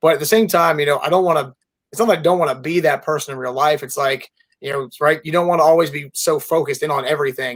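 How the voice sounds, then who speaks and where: With an American accent, a man talks at a very fast pace in a fairly high voice. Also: ordinary pitch variation. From Florida. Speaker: sports reporter. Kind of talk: casual chat. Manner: animated.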